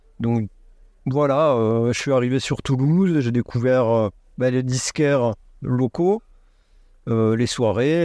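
A man with a dark, mellow tone speaks at medium pitch and a very slow pace, with long, frequent pauses and very even loudness, in a dry, close sound with no echo. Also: quiet background. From southwest France, near Montauban. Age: 40s. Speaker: record store owner and DJ. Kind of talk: interview. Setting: in his record shop (a converted bus).

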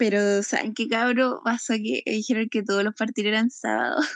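A woman speaks in a Chilean accent at a moderate pace. The sound is dry and close with no echo, over a quiet background. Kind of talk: casual chat.

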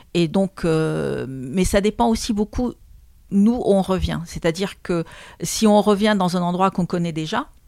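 A woman's dark, mellow voice at a fairly slow pace, with ordinary pitch variation, on a very clean recording with a silent background. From Lebanon. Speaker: trainer and coach. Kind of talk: interview testimony.

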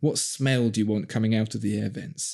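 Fairly low male pitch in a Cockney accent, dark and mellow in tone, with fairly even intonation and a quiet background. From Southeast London. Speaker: podcast host. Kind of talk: casual chat. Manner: switches to polished radio voice.

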